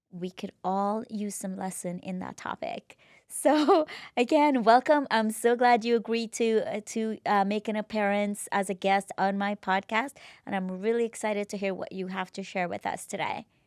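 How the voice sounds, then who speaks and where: A woman with an ordinary speaking voice talks at medium pitch and a moderate pace, with ordinary pitch variation. The very clean recording has a silent background and a dry, close sound with no echo. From immigrant, came to US at 21. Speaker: podcast host. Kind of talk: interview conversation.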